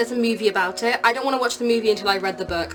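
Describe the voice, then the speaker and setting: A woman speaks with a fairly high voice. There is noticeable noise in the background. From UK. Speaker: book vlogger. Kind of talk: casual vlog talk.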